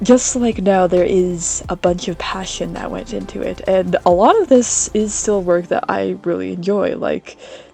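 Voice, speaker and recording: With music in the background, a woman talks at a moderate pace with hardly any pauses. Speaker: artist and video creator. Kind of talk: casual rambling voiceover over drawing. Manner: relaxed, frequent filler hesitations.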